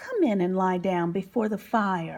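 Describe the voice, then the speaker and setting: A woman puts on a character voice with a warm, soothing tone. Her pitch sits in the middle, her intonation stays fairly even, and she talks at a moderate pace. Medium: read story.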